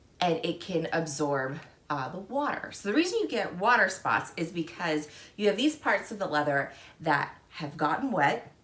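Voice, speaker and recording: A woman at a fairly low pitch, with lively intonation and a moderate pace, amid noticeable background noise. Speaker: fashion and handbag vlogger. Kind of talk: tutorial.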